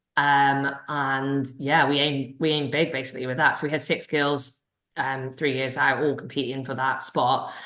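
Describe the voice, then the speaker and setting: This woman has a very deep, low voice with a bright, sharp tone, flat monotone delivery and a Welsh accent. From Wales. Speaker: sprint cycling coach. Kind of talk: Q&A session. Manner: fast.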